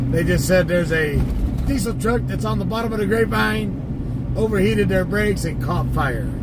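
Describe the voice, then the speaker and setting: Over noticeable background noise and audible room echo, a man talks at a moderate pace with an American accent. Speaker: live streamer commenting on police scanner, former tow truck driver. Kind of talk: casual live-stream commentary.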